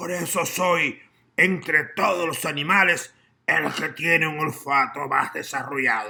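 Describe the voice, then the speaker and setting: This man puts on a character voice. His pitch is fairly high. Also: fairly slow pace. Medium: read story. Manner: polite, boastful.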